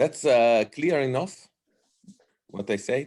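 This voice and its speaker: Man in a strong Italian accent, medium pitch, very wide pitch swings and a very slow pace. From Italy. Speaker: political science professor. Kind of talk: lecture. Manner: halting, many fillers.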